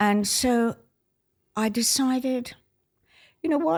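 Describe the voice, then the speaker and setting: On a very clean recording with a silent background, a woman with an Australian accent talks at a fairly slow pace. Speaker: retired ballet dancer. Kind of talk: interview. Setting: at a dining table. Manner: animated.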